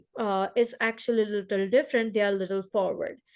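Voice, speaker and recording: A woman speaks in a Gujarati accent against a quiet background. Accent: Indian (Gujarati) English. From India, Gujarat. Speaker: entrepreneur. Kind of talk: interview. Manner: halting.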